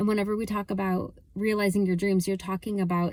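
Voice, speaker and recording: Her voice sits at a medium pitch for a woman. The tone comes across dark and mellow. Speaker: motivational coach. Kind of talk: motivational talk to camera. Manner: fast; animated.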